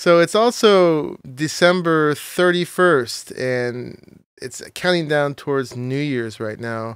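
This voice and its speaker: A man's fairly high-pitched voice at a very slow pace, on a very clean recording with a silent background. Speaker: gaming YouTuber. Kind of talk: gameplay commentary. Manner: low-key.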